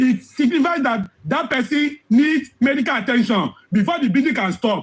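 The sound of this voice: A man speaks at an extremely high pitch with a slightly husky edge. His intonation is lively and his pace moderate.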